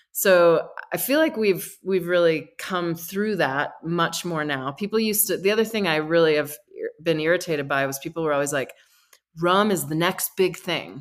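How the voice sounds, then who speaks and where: A woman with a fairly low pitch and ordinary pitch variation, a plain, everyday voice, is heard on a very clean recording with a silent background. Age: 50s. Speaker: rum distiller and distillery founder. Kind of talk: casual interview.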